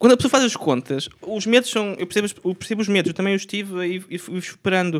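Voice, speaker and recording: A man at a very fast pace. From Portugal, Aveiro. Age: 20s. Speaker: street vendor. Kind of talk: casual chat.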